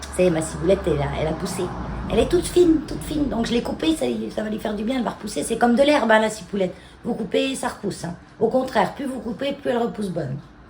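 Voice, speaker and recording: Over noticeable background noise, a woman with a fairly high pitch talks at a very fast pace, her pitch swinging very widely. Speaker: home and garden vlogger. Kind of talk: casual vlog talk to camera. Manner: hesitant, many fillers.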